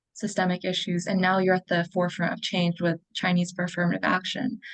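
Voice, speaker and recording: A woman's ordinary speaking voice at a medium pitch, moving at a fairly quick pace. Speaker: nonprofit founder and interviewer. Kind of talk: interview question. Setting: video call.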